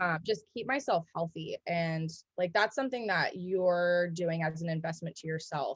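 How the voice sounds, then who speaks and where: A woman talks at a moderate pace with an American accent. Her voice is fairly low in pitch and somewhat breathy. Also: ordinary pitch variation. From US Pacific Northwest, Seattle. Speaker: gym member, brewery worker. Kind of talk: interview. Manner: casual, many fillers.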